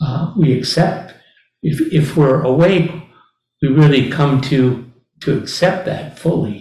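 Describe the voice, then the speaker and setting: A man with a fairly high pitch and a dark, mellow tone speaks very slowly, somewhat breathy, with ordinary pitch variation. Long, frequent pauses break his speech, and the room echo is audible. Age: old. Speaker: Zen teacher. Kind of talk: dharma talk.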